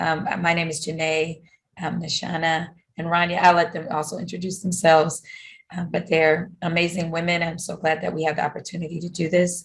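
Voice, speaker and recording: Somewhat breathy, a woman speaks at a fairly quick pace with monotone, flat intonation. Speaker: professional development staff at a college. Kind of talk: conference presentation. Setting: video call. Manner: halting, many fillers.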